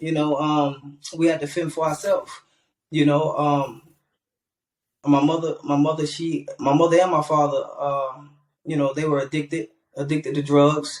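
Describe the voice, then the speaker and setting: A man with a fairly high pitch and a fairly even intonation. He speaks at a moderate pace. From US South, Greenville, South Carolina. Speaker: rapper. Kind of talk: interview. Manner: halting, repeats words.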